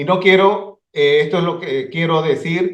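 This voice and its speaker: Audible room echo surrounds a high-pitched man who speaks at a fairly slow pace with ordinary pitch variation. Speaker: ophthalmologist. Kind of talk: conference lecture. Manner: halting.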